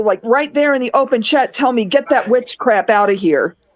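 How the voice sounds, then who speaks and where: A woman with a high pitch talks with lively intonation. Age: 60s. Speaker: Navy veteran and online content creator. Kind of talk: casual group chat on a live stream. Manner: animated.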